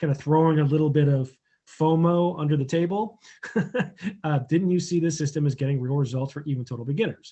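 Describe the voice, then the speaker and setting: A man talks fairly quickly at a fairly high pitch. Somewhat breathy, his voice rises and falls in an ordinary way. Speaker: online marketing coach. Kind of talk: tutorial. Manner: casual, many filler words.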